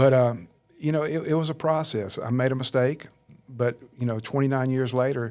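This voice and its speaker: Medium-pitched man with a Southern US accent, moderate pace and fairly even intonation, over noticeable background noise. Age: 60s. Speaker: churchgoer interviewed on faith podcast. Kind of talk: interview testimony.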